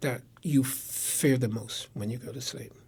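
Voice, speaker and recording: Somewhat breathy, a man with an American accent speaks at a fairly slow pace. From Connecticut. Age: 80s+. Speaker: war veteran. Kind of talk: interview. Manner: repetitive, halting restarts.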